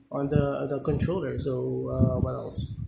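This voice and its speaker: A man talks at a fairly slow pace with fairly even intonation. Noticeable background noise and audible room echo surround the voice. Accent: non-native. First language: not English. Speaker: gaming content creator. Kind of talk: gameplay tutorial. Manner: halting, many fillers.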